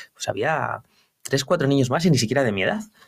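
A man speaks with ordinary pitch variation, his voice dry and close with no echo. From Spain, León province (rural village). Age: 40s. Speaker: entrepreneur. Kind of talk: interview. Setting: office. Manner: halting.

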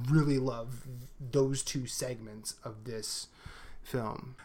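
Very slowly and in a flat monotone, a man speaks at a medium pitch. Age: 40s. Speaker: podcast co-host. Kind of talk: casual chat.

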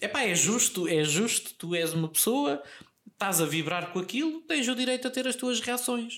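A man's high-pitched voice at a moderate pace, with very wide pitch swings and very even loudness. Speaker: podcast co-host. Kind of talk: casual chat.

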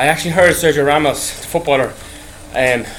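Noticeable background noise sits behind a man with an Irish accent. His pitch is fairly high. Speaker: podcast host. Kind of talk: casual monologue. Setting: on an exercise bike. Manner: rambling, halting.

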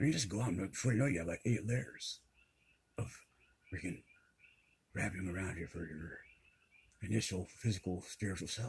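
A man speaks fairly quickly at a fairly low pitch with ordinary pitch variation. His voice is somewhat breathy, and he leaves long, frequent pauses. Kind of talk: casual chat. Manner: varying volume.

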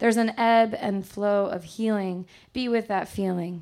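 A woman speaks slowly-ish, at a fairly slow pace, in an ordinary speaking voice of medium pitch with fairly even intonation. The recording is very clean, with a silent background. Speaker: poet; teacher and poet. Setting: stage with audience in a bar.

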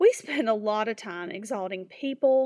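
A woman's unremarkable speaking voice, fairly high in pitch, at a moderate pace, in a very clean recording with a silent background. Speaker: devotional speaker. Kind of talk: devotional reflection. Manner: earnest.

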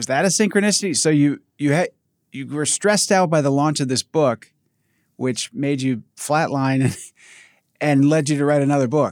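An ordinary speaking voice moves at a moderate pace with ordinary pitch variation, the sound dry and close with no echo. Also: man, fairly high pitch for a man. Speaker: podcast host. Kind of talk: interview conversation. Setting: video call.

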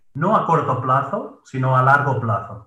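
A man with a bright, sharp tone and medium pitch speaks amid audible room echo. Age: 30s. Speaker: productivity coach and gym manager. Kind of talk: interview.

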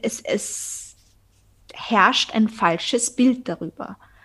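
A woman's somewhat breathy voice, fairly high in pitch, with lively intonation. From Austria. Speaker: podcaster, eating disorder survivor. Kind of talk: interview guest, personal testimony.

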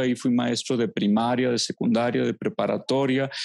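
A man with a medium-pitched voice, recorded dry and close with no echo, on a very clean track with a silent background. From Mexico, Los Altos de Jalisco. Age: 40s. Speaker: theologian and psychologist. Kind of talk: interview. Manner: halting.

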